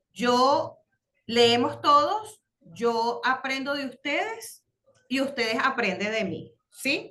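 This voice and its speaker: The voice is raised and projected, moving through very wide pitch swings at a very slow pace. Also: woman, high pitch for a woman. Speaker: religious course teacher. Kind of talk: online class lesson. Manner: halting, many fillers.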